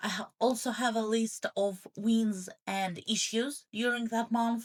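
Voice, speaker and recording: The delivery is very slow, with a flat, monotone intonation. The voice is somewhat breathy. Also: woman, fairly high pitch for a woman. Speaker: journaling content creator. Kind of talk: tutorial voice-over. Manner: mumbling; hesitant, many fillers.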